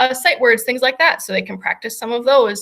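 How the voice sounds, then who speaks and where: Her voice raised and projected, a woman speaks at a high pitch with a bright, sharp tone. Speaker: special education teacher. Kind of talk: presentation over video call.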